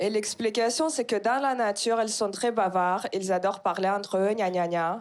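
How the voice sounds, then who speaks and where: A woman with an ordinary speaking voice, at a fairly slow pace with ordinary pitch variation. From Kazakhstan. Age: 20s. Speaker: stand-up comedian. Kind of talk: stand-up. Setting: stage with audience.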